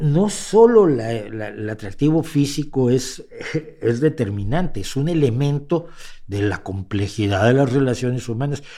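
Amid noticeable background noise, a man with a medium pitch speaks at a fairly slow pace with lively intonation. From Mexico. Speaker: podcast host and commentator. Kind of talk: livestream commentary. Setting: home studio livestream. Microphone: mic close to face.

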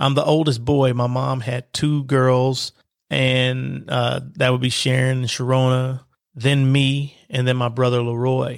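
Speaking at a fairly slow pace, a man holds a medium pitch with monotone, flat intonation. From Kentucky, Lexington. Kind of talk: unscripted personal tribute monologue.

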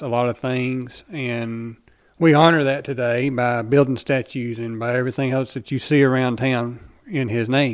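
A man at medium pitch, moderate pace and monotone, flat intonation, on a very clean recording with a silent background. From Kentucky, Paducah. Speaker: podcast co-host. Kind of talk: casual chat.

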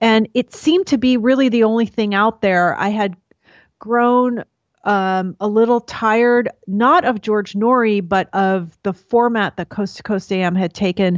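In an ordinary speaking voice, a woman talks at a fairly slow pace with a fairly high pitch and ordinary pitch variation. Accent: American. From New York. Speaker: podcast host and Jungian enthusiast. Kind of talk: interview conversation.

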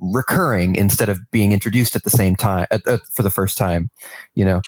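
Speaking at a moderate pace, a man uses a plain, everyday voice with an American accent, fairly low pitch and ordinary pitch variation. The sound is dry and close with no echo. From New York. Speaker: game narrative writer. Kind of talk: casual interview.

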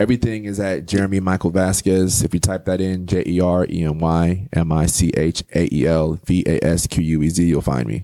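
Moving at a fairly quick pace with hardly any pauses, the speaker has an American accent, a dark, mellow tone and ordinary pitch variation. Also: man, very deep, low pitch for a man. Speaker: poet and author. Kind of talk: casual interview chat. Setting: studio. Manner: animated, passionate delivery.

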